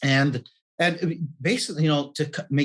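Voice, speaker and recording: Here a man talks in a normal speaking voice, fairly high in pitch. His pace is fairly quick. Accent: Canadian. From Canada. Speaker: life and business coach. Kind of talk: podcast interview.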